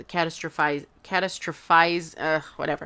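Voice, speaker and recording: This woman has a Spanish accent and a fairly low pitch. The recording is very clean, with a silent background. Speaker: tarot reader. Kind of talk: tarot reading. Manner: hesitant, many fillers.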